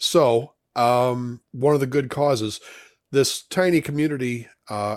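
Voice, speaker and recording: A man with an American accent speaks at a medium pitch with ordinary pitch variation, recorded very cleanly against a silent background. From western Illinois, US Midwest. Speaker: trivia host. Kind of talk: casual chat. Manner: hesitant, many fillers.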